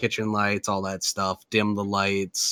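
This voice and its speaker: Here a man speaks at a moderate pace with an Upper Midwest accent. The sound is dry and close with no echo, and the recording is very clean with a silent background. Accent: Upper Midwest American. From Minnesota. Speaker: podcast host. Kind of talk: casual chat.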